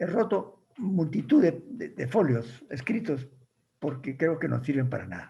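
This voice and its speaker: This man's voice is high-pitched with a dark, mellow tone and lively intonation. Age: 80s+. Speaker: writer. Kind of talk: talk with audience questions.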